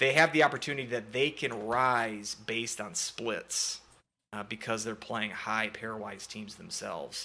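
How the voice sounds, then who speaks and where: This man speaks with a Minnesotan accent at a fairly slow pace and a medium pitch. His tone is bright and sharp, with ordinary pitch variation and big swings in loudness. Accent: Minnesota. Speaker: sports podcast host. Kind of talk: casual sports chat. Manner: hesitant, many fillers.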